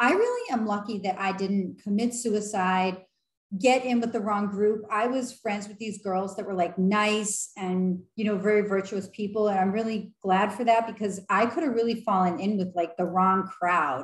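Audible room echo surrounds a woman's somewhat breathy voice, her intonation fairly even over a quiet background. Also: moderate pace. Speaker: vlogger. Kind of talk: casual vlog chat. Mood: earnest, encouraging. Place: home room. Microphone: webcam.

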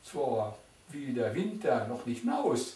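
A man with a Silesian accent, audible room echo around him. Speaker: dialect poetry reciter. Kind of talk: poetry reading. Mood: calm, warm, nostalgic. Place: home room. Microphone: camera far.

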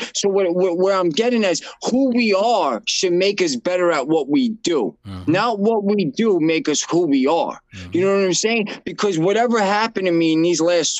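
With a New York accent and lively intonation, a man talks at a moderate pace with hardly any pauses and a high pitch, in a dry sound with no echo and a quiet background. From Brooklyn, New York. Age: 30s. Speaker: nonprofit founder in addiction recovery. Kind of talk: interview. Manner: casual. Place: office. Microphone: video call.

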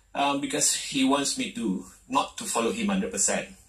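Against a quiet background with audible room echo, a man speaks with very wide pitch swings. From Malaysia. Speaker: martial arts federation president. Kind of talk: TV talk show interview. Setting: TV studio. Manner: halting. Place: studio.

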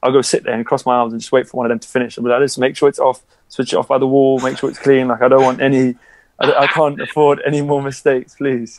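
A man with a London accent, medium in pitch, very fast and monotone with flat intonation. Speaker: professional basketball player. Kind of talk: casual interview chat.

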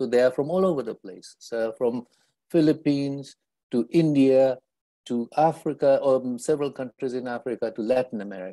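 A man talks at a fairly quick pace in a dark, mellow tone. His loudness swings widely over a quiet background. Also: ordinary pitch variation. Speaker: nonprofit leader; panelist. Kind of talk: panel discussion. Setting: video call. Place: home room. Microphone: earbuds.

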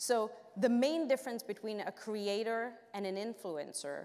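Taking a fairly slow pace, a woman talks. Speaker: panel moderator. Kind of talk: conference presentation. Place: stage.

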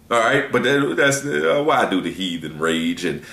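A man speaks at a moderate pace with vocal fry. The room echo is audible. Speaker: religious teacher. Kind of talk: scripture reading with sermon commentary. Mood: relaxed, laughs at times. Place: home room. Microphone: webcam.

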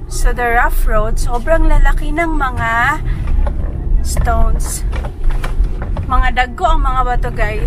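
A woman speaks at a very slow pace in a dry sound with no echo, with noticeable background noise. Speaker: travel vlogger. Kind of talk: casual vlog chat. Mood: relaxed, cheerful. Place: car. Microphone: phone near.

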